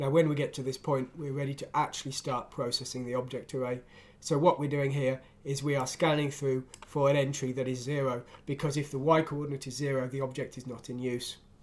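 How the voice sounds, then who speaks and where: At a fairly quick pace, a man with a fairly high pitch talks in a monotone, flat intonation. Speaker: programming tutor and game developer. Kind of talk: screen-recorded coding tutorial.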